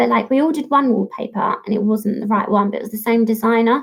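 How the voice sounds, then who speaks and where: A woman's somewhat breathy voice with an Estuary English accent, fairly high in pitch, at a fairly quick pace with fairly even intonation. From Kent, Gravesend/Dartford area. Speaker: fitness model. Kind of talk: casual chat on a livestream Q&A.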